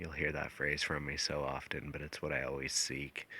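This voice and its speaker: A man talks at a moderate pace in a very deep, flat monotone with vocal fry. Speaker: hunter and outdoor vlogger. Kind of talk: outdoor vlog narration. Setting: outdoors in mountains. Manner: casual, with many fillers.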